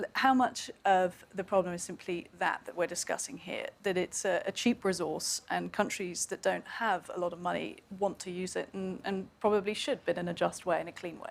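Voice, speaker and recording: A woman speaks at a moderate pace in a British accent, with hardly any pauses. Vocal fry runs through her voice. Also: medium pitch for a woman, fairly even intonation. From UK. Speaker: panel moderator. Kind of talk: panel discussion. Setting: live event at climate conference.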